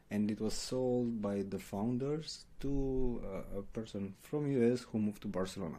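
Fairly slow and dark, mellow in tone, a man's voice holds a medium pitch. His pitch varies in an ordinary way. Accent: Romanian. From Romania. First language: Romanian. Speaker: paid ads manager. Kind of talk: interview.

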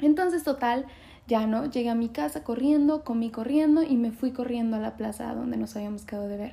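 Fairly high in pitch with a dark, mellow tone, a woman talks at a fairly quick pace with lively intonation. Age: 20s. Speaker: podcast host. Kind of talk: casual monologue.

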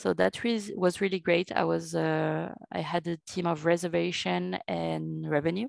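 A woman speaks very slowly with a strong French accent. The sound is dry and close with no echo, in a very clean recording with a silent background. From France. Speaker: revenue manager. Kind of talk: interview.

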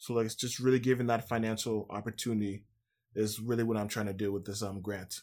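In a Toronto accent, a man talks at a very fast pace with a fairly low pitch and monotone, flat intonation. The recording is very clean, with a silent background. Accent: Toronto Canadian English. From Scarborough, Toronto, Canada. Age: 20s. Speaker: university basketball player and activist. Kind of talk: podcast interview.

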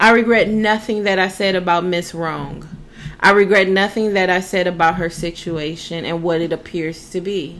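Background noise is noticeable in this clip. A woman talks with fairly even intonation. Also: medium pitch for a woman, moderate pace. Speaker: podcast co-host. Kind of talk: casual chat.

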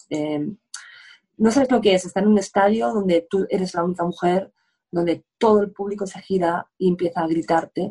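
A woman with a fairly low pitch and a dark, mellow tone. She speaks at a moderate pace with ordinary pitch variation. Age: 50s. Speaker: sports journalist. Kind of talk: casual interview.

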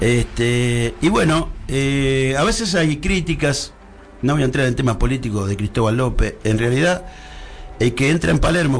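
Fairly slow speech from a man at a medium pitch, lively in intonation, with noticeable background noise. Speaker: horse racing commentator. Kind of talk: casual chat.

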